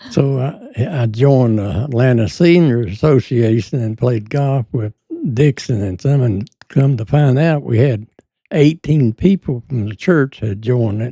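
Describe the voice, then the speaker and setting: A man with an American accent speaks at a medium pitch and a fairly slow pace, his somewhat breathy voice dark and mellow in tone, with ordinary pitch variation and a dry, close sound with no echo. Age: 90s. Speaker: war veteran. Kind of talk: interview. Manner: halting.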